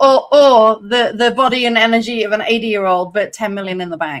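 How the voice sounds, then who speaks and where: Fairly high in pitch, a woman talks in a plain, everyday voice. Her pitch variation is ordinary. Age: 50s. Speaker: podcast co-host. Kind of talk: casual chat. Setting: live stream.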